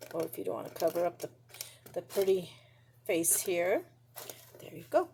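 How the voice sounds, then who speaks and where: Over noticeable background noise, a woman with a fairly low pitch speaks at a moderate pace, her loudness swinging widely. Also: ordinary pitch variation. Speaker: paper craft tutorial host. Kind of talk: tutorial. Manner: casual, halting with fillers.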